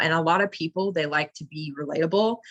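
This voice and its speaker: A woman's energetic tone and lively intonation at a fairly quick pace. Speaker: network marketing promoter. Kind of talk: motivational team call. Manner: fast.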